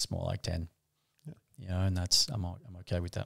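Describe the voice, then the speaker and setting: A man talks at a very fast pace with fairly even intonation. The sound is dry and close with no echo, on a very clean recording with a silent background. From Papua New Guinea. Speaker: men's work facilitator. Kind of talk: casual conversation. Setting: in person, sitting beside host.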